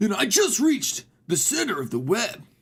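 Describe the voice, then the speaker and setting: A put-on character voice with a fairly high pitch, very wide pitch swings and a moderate pace. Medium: game stream.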